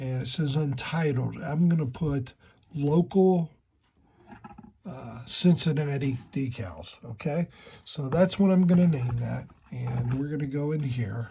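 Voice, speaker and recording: A man speaks fairly slowly in a fairly high pitch with ordinary pitch variation. His tone is dark and mellow, and somewhat breathy. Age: 60s. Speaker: model railroad hobbyist YouTuber. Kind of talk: tutorial. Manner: casual, halting.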